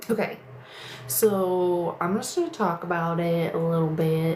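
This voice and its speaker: Noticeable background noise and audible room echo surround this recording. A woman with a fairly low pitch speaks with fairly even intonation. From Missouri, St. Louis. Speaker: live streamer. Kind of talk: casual live stream chat. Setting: livestream at home in bedroom. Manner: slow.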